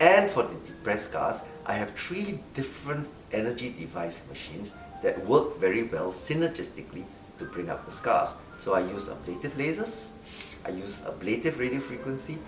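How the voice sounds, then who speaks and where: Music plays in the background, and audible room echo surrounds the voice. A man speaks at a moderate pace with very wide pitch swings. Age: 60s. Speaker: doctor. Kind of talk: interview.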